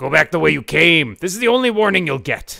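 A put-on character voice races along at a very fast pace, its pitch swinging very widely up and down. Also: man. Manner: stern, warning.

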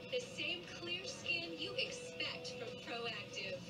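A woman speaks at a very slow pace. Loud music plays in the background. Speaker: commercial announcer. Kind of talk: advertising voice-over. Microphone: old recording.

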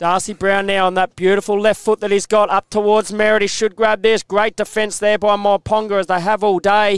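Over music in the background, a man speaks with an excited tone, high pitch, very even loudness and hardly any pauses. The sound is dry and close, with no echo. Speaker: football commentator. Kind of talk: live sports commentary. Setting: commentary box. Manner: fast, excited play-by-play.

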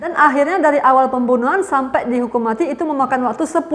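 This woman's voice sits high in pitch and moves through ordinary pitch variation. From Indonesia. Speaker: YouTuber. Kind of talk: true crime storytelling. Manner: casual, chatty. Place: home room. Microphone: earbuds.

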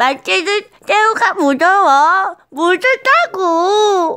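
An extremely high-pitched, put-on character voice drags along at a very slow pace. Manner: exaggerated, frightened.

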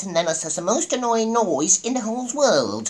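A put-on character voice at a fairly high pitch. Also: moderate pace. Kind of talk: casual. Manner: annoying, silly. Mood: playful, storytelling.

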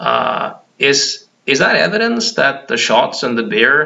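A man with a Norwegian accent speaks at a fairly slow pace. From Norway. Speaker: hypnotherapist; hypnotist commentator. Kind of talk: monologue vlog. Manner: halting, frequent repetitions. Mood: argumentative, critical. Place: home room. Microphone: webcam.

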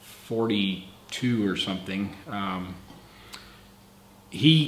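Audible room echo surrounds a man who speaks at a very slow pace with ordinary pitch variation. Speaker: channel host, car builder. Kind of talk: casual talk to camera. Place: garage. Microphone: camera far.

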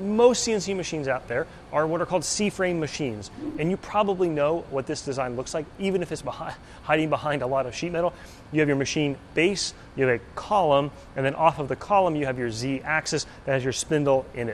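Over light background noise, a man speaks fairly quickly with ordinary pitch variation. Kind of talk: explanatory vlog commentary. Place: workshop. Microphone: phone near.

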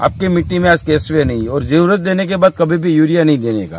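An ordinary speaking voice with dry sound and no echo. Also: man. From Gujarat. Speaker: seed shop owner. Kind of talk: field interview. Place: farm. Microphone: phone near.

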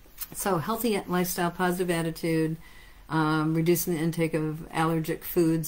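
A woman speaks at a moderate pace with an American accent. Her pitch is fairly low. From United States. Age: 50s. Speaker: natural health clinic owner and practitioner. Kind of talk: lecture. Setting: live stream. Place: office.

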